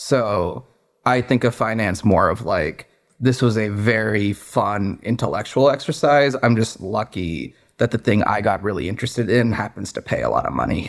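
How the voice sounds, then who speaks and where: Speaking with a General American accent in a plain, everyday voice, a man keeps a moderate pace, medium pitch and ordinary pitch variation. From US Pacific Northwest (Seattle area, Redmond). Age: 20s. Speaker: business owner, former private equity investor. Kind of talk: interview.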